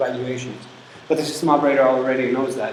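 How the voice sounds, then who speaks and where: A man is speaking. Audible room echo and noticeable background noise fill the recording. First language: not English. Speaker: university lecturer. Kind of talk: lecture. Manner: halting, with fillers.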